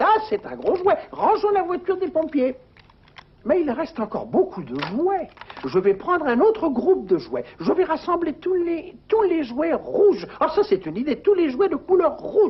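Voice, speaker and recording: This high-pitched, cartoonish character voice moves at a moderate pace. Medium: puppet show. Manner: chatty, playful.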